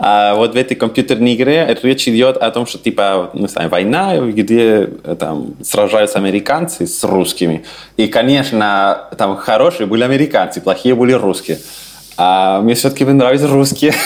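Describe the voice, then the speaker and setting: Lively intonation marks this man's medium-pitched speech in a Spanish accent. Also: moderate pace. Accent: Spanish accent in Russian. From Chile, Santiago. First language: Spanish (speaking Russian). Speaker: immigrant and language teacher. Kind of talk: interview.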